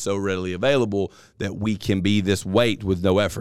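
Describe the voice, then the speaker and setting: Fairly even intonation comes with a Southern US accent on a very clean recording with a silent background. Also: man. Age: 30s. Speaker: podcast host. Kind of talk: casual chat.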